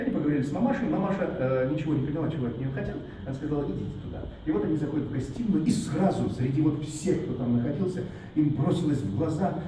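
A man speaks at a very fast pace with ordinary pitch variation, over light background noise and audible room echo. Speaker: tour guide. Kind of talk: guided tour storytelling. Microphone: camera far.

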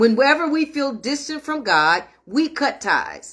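Against a quiet background, a woman projects a raised voice with a bright, sharp tone and lively intonation. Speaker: minister leading online prayer meeting. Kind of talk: sermon. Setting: livestream. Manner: warm, affectionate. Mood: warm, earnest, exhorting. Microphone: phone near.

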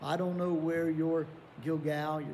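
Somewhat breathy and dark, mellow in tone, a man with an Appalachian accent talks at a fairly high pitch and fairly slow pace over light background noise. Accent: Appalachian American. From southern West Virginia (Welch area); West Virginia. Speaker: pastor. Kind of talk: Bible study lesson. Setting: online video recording. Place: church.

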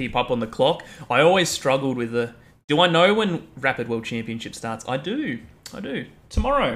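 A man's lively intonation in an Australian accent. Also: moderate pace. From rural Australia, outback. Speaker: chess streamer. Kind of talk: casual live stream chat. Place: home room.

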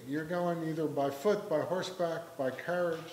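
A man speaks at a high pitch with an American accent. The room echo is audible. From Philadelphia. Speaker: journalist and author; journalist. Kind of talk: book talk with readings. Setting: library event with audience. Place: hall. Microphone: lapel.

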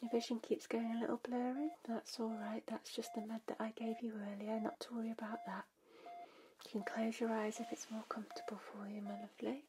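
Soft-spoken, a woman talks at a fairly quick pace with fairly even intonation and a soothing tone. Noticeable background noise sits behind her. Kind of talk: soothing role-play talk to viewer. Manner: soft, soothing ASMR bedside voice. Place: home room. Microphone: studio mic.

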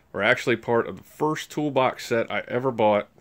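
This is a man speaking. His pitch varies in an ordinary way. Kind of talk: casual vlog chat. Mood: relaxed, chatty. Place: garage. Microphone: phone near.

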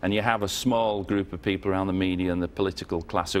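Very deep and low, a man's voice with a northern English accent moves at a very fast pace with fairly even intonation. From northern England. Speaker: former member of parliament; guest. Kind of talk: TV interview. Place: studio.

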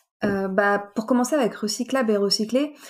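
This woman has an unremarkable speaking voice at a medium pitch with ordinary pitch variation. She talks at a moderate pace. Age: 20s. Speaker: recycling engineer and trainer. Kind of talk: casual interview.

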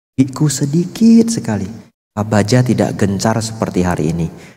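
This man has a fairly low pitch and lively intonation, speaking at a moderate pace. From Medan, North Sumatra, Indonesia; North Sumatra, Indonesia. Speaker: Buddhist monk; Buddhist monk teacher. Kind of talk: sermon. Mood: warm, lightly humorous. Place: hall. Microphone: handheld.

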